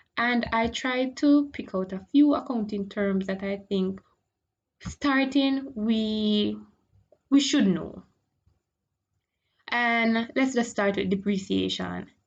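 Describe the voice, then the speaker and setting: A woman talks very slowly, with long, frequent pauses. Her fairly high voice is somewhat breathy. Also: ordinary pitch variation. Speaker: accounting teacher. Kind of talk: online tutorial lecture. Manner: casual, conversational.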